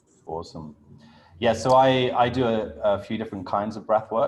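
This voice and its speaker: Speaking with a British accent, a man talks at a moderate pace. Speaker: breathwork coach. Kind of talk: online workshop.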